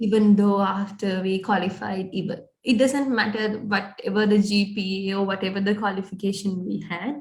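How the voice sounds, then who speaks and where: Her medium-pitched voice is somewhat breathy, with fairly even intonation and hardly any pauses from this woman. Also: moderate pace. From Sri Lanka. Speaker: recent graduate, aspiring business analyst. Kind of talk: interview. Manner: halting, many fillers.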